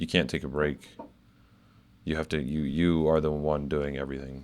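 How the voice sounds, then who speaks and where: A man speaks with a very deep, low pitch and a monotone, flat intonation. His pace is moderate. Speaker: college student, podcast co-host. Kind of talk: casual chat. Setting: studio with camera. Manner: artificially deep voice on camera.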